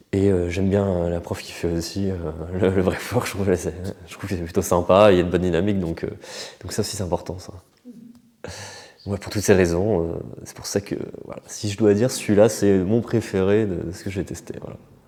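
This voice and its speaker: Despite a fairly quick pace, a man with a very deep, low pitch leaves long, frequent pauses, his monotone, flat delivery showing big swings in loudness over noticeable background noise. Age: 30s. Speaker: breathwork practitioner. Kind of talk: interview answer. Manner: hesitant, casual.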